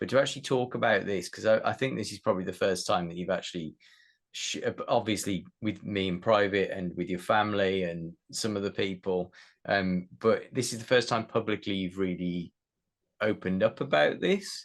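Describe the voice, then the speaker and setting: This is a plain, everyday voice with ordinary pitch variation. It moves at a moderate pace over a quiet background. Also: man, fairly low pitch for a man. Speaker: podcast host. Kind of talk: podcast interview questions.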